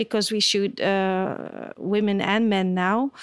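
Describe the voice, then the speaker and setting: A woman speaks with a Dutch accent. The recording is very clean, with a silent background. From Belgium. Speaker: portrait photographer. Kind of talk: interview. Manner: halting.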